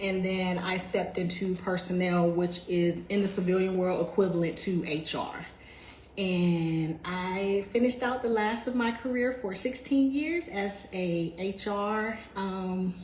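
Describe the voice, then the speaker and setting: A woman with an American accent at medium pitch, with ordinary pitch variation, audible room echo and noticeable background noise. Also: fairly slow pace. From US South, Jacksonville, Florida. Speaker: military veteran, community founder. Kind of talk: livestream talk about her background. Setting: live video stream. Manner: casual, conversational.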